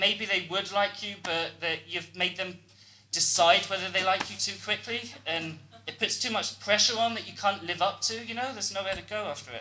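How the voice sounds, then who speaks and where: A man with a high-pitched voice projects it outward, speaking at a moderate pace. His intonation stays fairly even while music plays in the background. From British. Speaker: stand-up comedian. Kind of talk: stand-up comedy performance to a live audience.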